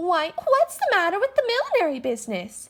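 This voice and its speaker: A squeaky, put-on character voice from a woman, extremely high in pitch, with very wide pitch swings and a fairly quick pace. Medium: stage play. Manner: hesitant.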